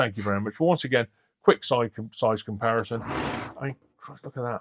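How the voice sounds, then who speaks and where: Speaking at a moderate pace with a British accent, a man uses a medium pitch and fairly even intonation, and the sound is dry and close with no echo. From Britain. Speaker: scale model hobbyist YouTuber. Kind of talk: unboxing video. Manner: halting.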